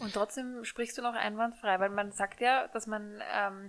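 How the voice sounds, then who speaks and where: With an ordinary speaking voice, a woman talks at a fairly slow pace, her pitch fairly high with ordinary variation. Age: 30s. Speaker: podcast co-host. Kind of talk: casual chat. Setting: studio.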